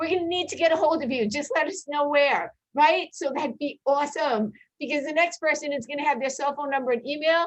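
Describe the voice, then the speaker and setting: A woman speaks in a high voice. She is loud. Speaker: school personnel administrator. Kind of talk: workshop presentation. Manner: animated.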